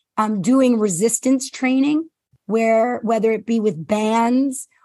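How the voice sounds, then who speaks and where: A woman with a normal speaking voice talks at a fairly slow pace, with a fairly high pitch and ordinary pitch variation. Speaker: former physician assistant, health coach. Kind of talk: casual interview.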